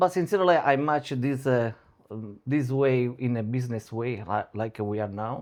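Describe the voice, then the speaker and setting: A man speaks at a moderate pace with an Italian accent. His pitch sits in the middle range and varies in an ordinary way. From Italy, Sicily. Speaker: security entrepreneur, former military. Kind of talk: interview. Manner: halting.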